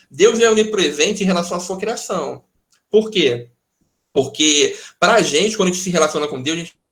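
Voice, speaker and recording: A man's high-pitched voice at a moderate pace, with long, frequent pauses, ordinary pitch variation and big swings in loudness. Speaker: pastor teaching a Bible study. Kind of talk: online Bible study lecture with Q&A.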